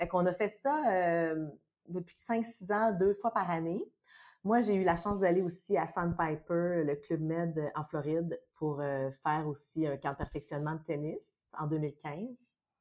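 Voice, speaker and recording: On a very clean recording with a silent background, the speech unfolds at a very slow pace with ordinary pitch variation. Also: woman, fairly low pitch for a woman. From Quebec, Saint-Bruno on Montreal's South Shore. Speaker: actress, tennis enthusiast. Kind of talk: casual chat.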